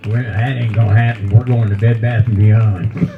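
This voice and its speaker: With noticeable background noise in the recording, a man with a Kentucky accent speaks at a moderate pace. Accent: Southern US (Kentucky). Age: 70s. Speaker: comedian. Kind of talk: stand-up. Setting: stage with audience at a brewery.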